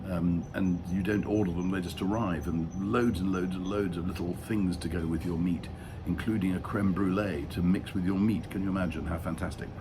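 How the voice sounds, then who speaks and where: A dark, mellow, somewhat breathy voice in a British accent, fairly quick with hardly any pauses and fairly even intonation, in audible room echo. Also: man, very deep, low pitch for a man. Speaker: travel vlogger. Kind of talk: travel vlog. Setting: hotel room. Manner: halting with fillers; quiet.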